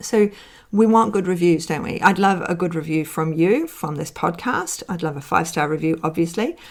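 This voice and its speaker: Ordinary pitch variation in a woman's voice pitched fairly low. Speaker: business mentor podcast host. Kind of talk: solo podcast talk. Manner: fast.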